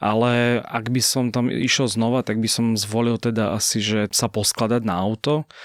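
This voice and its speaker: A man's normal speaking voice at a moderate pace, with fairly even intonation, hardly any pauses, very even loudness, and a dry, close sound with no echo. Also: medium pitch for a man, very clean recording, silent background. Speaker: journalist. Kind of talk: casual chat. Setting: studio.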